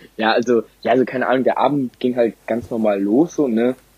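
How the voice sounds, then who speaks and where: Speaking at a moderate pace, a man with an ordinary speaking voice holds a medium pitch with ordinary pitch variation. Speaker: podcast co-host. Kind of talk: casual chat.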